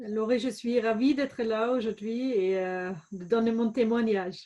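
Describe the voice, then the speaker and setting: A woman with a slight German accent speaks at a fairly slow pace, her fairly high pitch carrying a dark, mellow tone. Her intonation stays fairly even against a quiet background. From Germany, Bavaria (Regensburg). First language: German (speaking French). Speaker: entrepreneur, former business lawyer. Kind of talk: interview. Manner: hesitant, many fillers.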